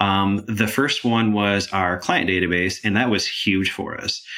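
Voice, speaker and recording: A man with an unremarkable speaking voice and an American accent, fairly low in pitch, with fairly even intonation at a moderate pace. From Michigan. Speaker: nonprofit chief information officer. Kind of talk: interview.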